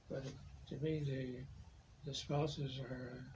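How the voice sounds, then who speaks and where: Soft-spoken, the man has a fairly high pitch. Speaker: war veteran. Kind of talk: interview answer.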